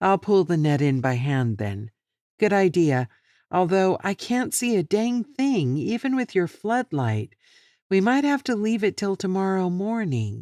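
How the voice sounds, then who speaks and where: This is a put-on character voice. Its pitch swings are very wide. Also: woman, medium pitch for a woman, moderate pace. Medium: read story. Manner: brusque, bossy.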